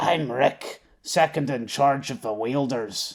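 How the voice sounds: Putting on a raspy, gravelly character voice at a medium pitch, a man speaks at a fairly slow pace.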